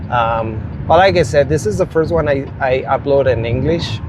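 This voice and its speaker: Noticeable noise sits in the background. The man's voice falls at a medium pitch. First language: Spanish. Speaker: rideshare driver and storyteller. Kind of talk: casual storytelling monologue. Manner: slow; halting.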